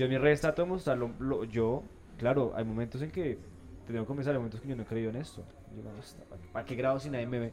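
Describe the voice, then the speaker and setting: A man talks very fast at a medium pitch with ordinary pitch variation. Long pauses come often between his words. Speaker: podcast host. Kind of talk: casual interview chat. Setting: café.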